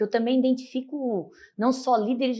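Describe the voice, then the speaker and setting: High pitch and a dark, mellow tone from a woman. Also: quiet background. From Brazil, Itajaí, Santa Catarina. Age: 30s. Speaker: city councillor and lawyer. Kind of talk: interview.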